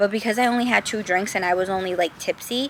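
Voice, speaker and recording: Using a normal speaking voice, a woman talks at a moderate pace in a fairly high pitch with fairly even intonation. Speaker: lifestyle vlogger. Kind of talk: casual monologue vlog. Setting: outdoors, then moves closer to camera.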